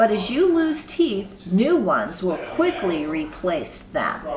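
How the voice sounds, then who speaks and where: A woman uses a put-on character voice at a fairly high pitch, with very wide pitch swings. She talks at a fairly slow pace over clear background noise. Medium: read story. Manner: warm, gentle.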